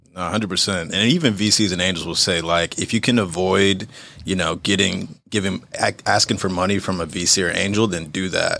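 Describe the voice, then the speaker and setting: A man's very deep, low voice with a bright, sharp tone, a fairly quick pace and hardly any pauses. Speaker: podcast host. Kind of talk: casual interview chat. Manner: casual, energetic.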